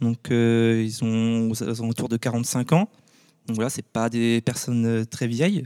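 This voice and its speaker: A man's dark, mellow voice at a medium pitch, very slow and fairly even in intonation, in a very clean, dry, close recording with a silent background and no echo. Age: 20s. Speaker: champagne winegrower. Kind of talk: casual interview. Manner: halting, many fillers.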